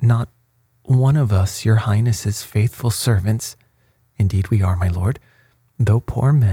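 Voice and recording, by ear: This is reading aloud in a natural voice with ordinary pitch variation. The background is quiet.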